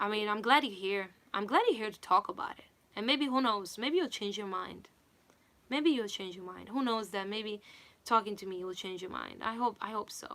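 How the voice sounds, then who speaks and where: Speaking with a non-native accent, the woman has a fairly high pitch and a bright, sharp tone, with big swings in loudness. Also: ordinary pitch variation, moderate pace. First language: not English. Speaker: singer and vocal coach. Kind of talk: livestream chat.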